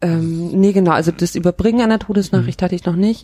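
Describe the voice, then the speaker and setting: Her voice has a dark, mellow tone and fairly low pitch, and the woman speaks with fairly even intonation in a dry, close sound with no echo on a very clean recording with a silent background. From northern Germany (Kiel, Schleswig-Holstein). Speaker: pastor. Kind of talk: podcast interview.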